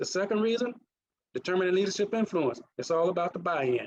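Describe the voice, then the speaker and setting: A man speaks fairly quickly at a high pitch with a Mississippi accent. His intonation is lively. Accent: Mississippi accent, still present. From US South, Mississippi. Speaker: naval officer and leadership trainer. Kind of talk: conference presentation.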